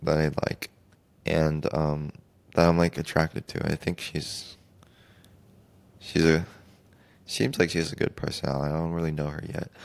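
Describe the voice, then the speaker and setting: This man speaks softly in a very deep, low voice at a moderate pace. His intonation is flat and monotone, broken by long, frequent pauses. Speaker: podcast host. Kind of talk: solo podcast monologue. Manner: soft-spoken; halting.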